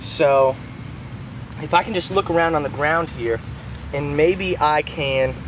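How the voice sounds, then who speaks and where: This man talks at a fairly slow pace. Background noise is clearly audible behind him. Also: dry sound with no echo. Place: forest. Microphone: phone near.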